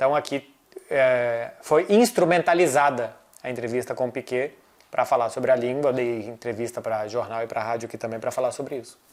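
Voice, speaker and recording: In a normal speaking voice, this man holds a medium pitch. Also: ordinary pitch variation. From Brazil. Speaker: football journalist. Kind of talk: casual chat. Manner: fast.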